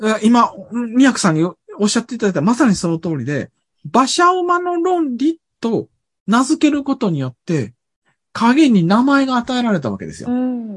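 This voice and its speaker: A man speaks at an extremely high pitch with very wide pitch swings. His pace is moderate, and the sound is dry and close with no echo. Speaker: university professor and author. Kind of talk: casual conversational interview.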